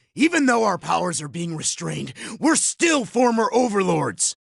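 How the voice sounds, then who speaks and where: A man puts on a character voice, pitched high, and delivers it at a moderate pace. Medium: video game.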